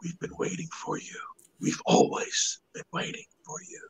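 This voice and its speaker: In a put-on character voice, a man gives a raspy whisper at a moderate pace. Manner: whispering; creepy, eerie.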